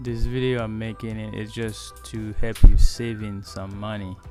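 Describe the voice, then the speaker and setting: With music in the background, a man speaks at a fairly slow pace in a fairly low voice with ordinary pitch variation. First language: Haitian Creole. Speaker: DIY handyman. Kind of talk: DIY repair tutorial. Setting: outdoors.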